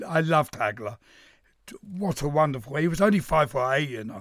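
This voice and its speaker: A man with a Cockney accent, fairly high-pitched, big swings in loudness, and a dry, close sound with no echo. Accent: London Cockney. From East London. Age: old. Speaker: veteran boxing journalist. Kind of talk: radio panel discussion.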